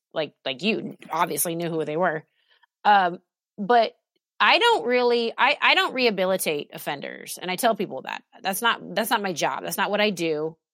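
In an ordinary speaking voice with an American accent, a woman talks at medium pitch and a moderate pace, her intonation lively and the sound dry and close with no echo. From Alaska and Oregon, US. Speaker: nurse and survivor advocate. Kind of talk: testimony.

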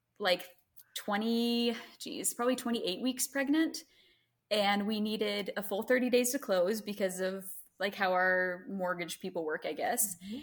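In an American accent, a woman speaks in a plain, everyday voice at a moderate pace. Her pitch is fairly high, with ordinary pitch variation. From US South, Greenville, South Carolina. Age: 20s. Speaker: mother sharing birth story. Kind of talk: casual interview, birth story.

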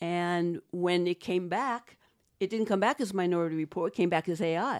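The voice has a slight Boston accent and ordinary pitch variation, moving at a fairly slow pace in a very clean recording with a silent background and a dry, close sound with no echo. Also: woman. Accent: Boston American, slight. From Boston, US. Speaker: set decorator. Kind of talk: interview conversation.

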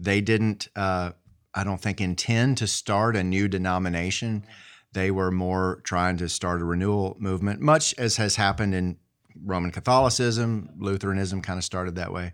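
A man's very deep, low voice with an Appalachian accent, fairly even in intonation, at a moderate pace, on a very clean recording with a silent background. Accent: Appalachian Southern American. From US South, southwestern Virginia. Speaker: Methodist pastor. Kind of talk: interview conversation.

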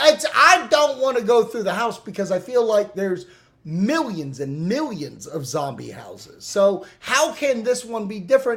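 Loud and high-pitched, a man speaks at a moderate pace. His pitch swings very widely. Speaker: podcast host.

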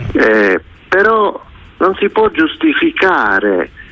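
A man speaks in a dry, close sound with no echo, against noticeable background noise. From Catanzaro, Calabria. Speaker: caller. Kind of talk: radio phone-in call.

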